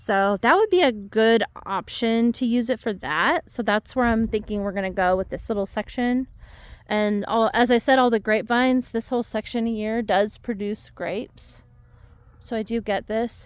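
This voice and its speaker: The recording is very clean, with a silent background. A woman speaks at a moderate pace in a fairly high pitch with ordinary pitch variation. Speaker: home gardener vlogger. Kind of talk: casual walk-through garden tour. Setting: outdoors in yard. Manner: casual, filler-heavy; quieter, lowered voice.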